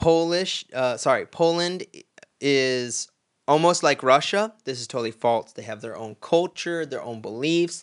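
In a normal speaking voice with an American accent, the speaker goes at a fairly slow pace with ordinary pitch variation. The sound is dry and close with no echo, over a quiet background. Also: man. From Florida, US. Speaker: podcast host. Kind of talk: casual chat.

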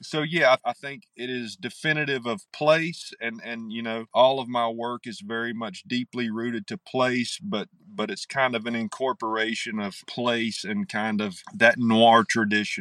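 With an Appalachian accent, a man speaks at a moderate pace in a bright, sharp tone, using ordinary pitch variation and hardly any pauses. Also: medium pitch for a man. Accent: Appalachian Southern US. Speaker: novelist. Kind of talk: interview. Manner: halting.

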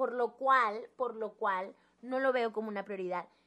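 Speaking with a Mexican accent, a woman uses a fairly high pitch. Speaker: podcast co-host. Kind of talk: casual chat.

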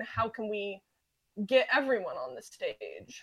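In an American accent, a woman speaks in an unremarkable speaking voice, fairly high in pitch with ordinary pitch variation. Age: 20s. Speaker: podcast guest, music fan. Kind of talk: casual chat.

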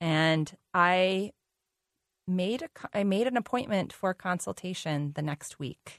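A woman with a plain, everyday voice and medium pitch speaks at a fairly slow pace, dry and close with no echo over a quiet background. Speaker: nutrition educator. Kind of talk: casual chat.

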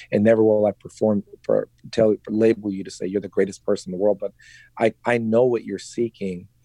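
A man with an American accent talks at a fairly quick pace. His voice is fairly low in pitch, with a dark, mellow tone. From San Francisco, US. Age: 50s. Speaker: conference organizer and real estate agent. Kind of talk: casual chat. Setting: remote call. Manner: animated.

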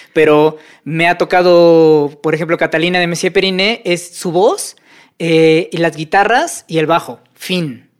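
The speaker has a Mexican accent and talks at a fairly slow pace. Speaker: audio engineer and sound editor. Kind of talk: casual interview.

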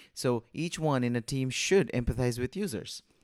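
Ordinary pitch variation and a moderate pace in an ordinary speaking voice, very clean recording, silent background. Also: man. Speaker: podcast co-host. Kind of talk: interview.

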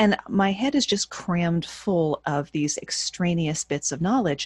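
A woman's somewhat breathy, medium-pitched voice with lively intonation and a dry, close sound with no echo. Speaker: burlesque performer, author and voice-over artist. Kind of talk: casual interview.

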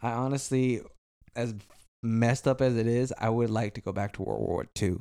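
A man with an American accent speaks at a medium pitch in a dark, mellow tone. His pace is moderate and his intonation fairly even. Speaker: podcast co-host. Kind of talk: casual chat. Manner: loud.

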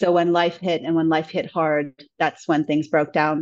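A woman with a normal speaking voice talks at a moderate pace in a fairly low pitch. Her intonation is fairly even, and the background is quiet. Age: 30s. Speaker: podcast guest sharing breakup story. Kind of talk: personal testimony in interview.

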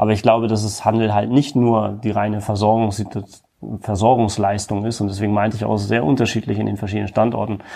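A man speaks at a very fast pace with a fairly low pitch. His dark, mellow tone stays monotone, with flat intonation. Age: 30s. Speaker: retail chain executive. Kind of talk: interview.

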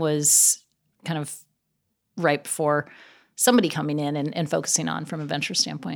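A woman with an American accent speaks with a very deep, low pitch and vocal fry. The recording is very clean, with a silent background. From US Pacific Northwest (Gig Harbor, near Seattle). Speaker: venture capital investor. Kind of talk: interview. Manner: laughs often.

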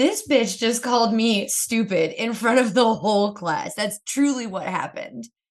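The words come at a moderate pace in an ordinary speaking voice. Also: woman. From US Northeast, Pennsylvania (Kingston). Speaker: comedian and TV writer. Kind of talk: casual chat.

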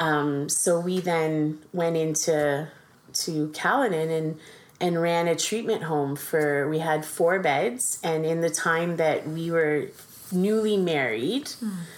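Very slow female speech, fairly low in pitch, with normal variation in tone. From Ontario, Canada. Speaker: foster parent. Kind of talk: casual chat. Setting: at home around dining table.

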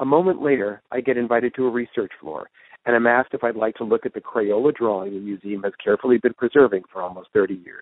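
A man talks at a fast pace with ordinary pitch variation. The sound is dry and close, with no echo. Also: medium pitch for a man.

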